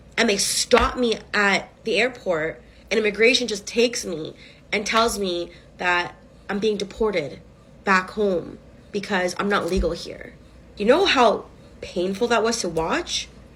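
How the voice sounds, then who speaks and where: A woman with an animated tone speaks fairly slowly at a medium pitch with ordinary pitch variation. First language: Spanish. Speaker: vlogger. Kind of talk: casual vlog monologue.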